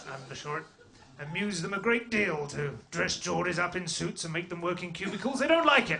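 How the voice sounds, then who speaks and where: A man's high-pitched voice, fairly quick and with lively intonation, over noticeable background noise. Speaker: stand-up comedian. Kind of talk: stand-up comedy. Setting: stage with audience.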